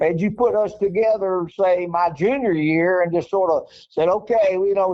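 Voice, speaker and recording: A man speaks with an Arkansas accent. His voice sits at a high pitch. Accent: Southern US (Arkansas). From Northeast Arkansas, US South. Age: 70s. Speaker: former basketball coach. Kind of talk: interview. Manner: repetitive, stammering restarts.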